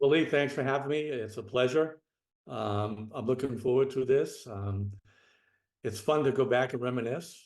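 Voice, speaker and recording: The background is quiet. A man speaks in a strong Boston accent. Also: medium pitch for a man, ordinary pitch variation, moderate pace. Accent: Boston accent, still strong. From Boston area, Massachusetts. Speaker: retired federal special agent. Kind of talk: interview conversation.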